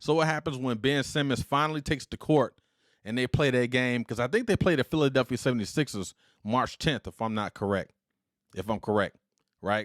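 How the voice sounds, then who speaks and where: On a very clean recording with a silent background, a man talks in an animated tone at a fairly quick pace. His pitch is medium, with ordinary variation. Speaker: podcast host and retired army veteran. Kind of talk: solo podcast commentary.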